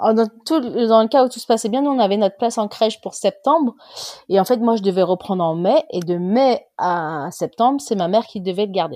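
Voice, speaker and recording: The voice has a dark, mellow tone, lively intonation and a fairly quick pace. The sound is dry and close with no echo, over a quiet background. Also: woman, fairly high pitch for a woman. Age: 30s. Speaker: mother interviewed about lockdown. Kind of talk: casual interview.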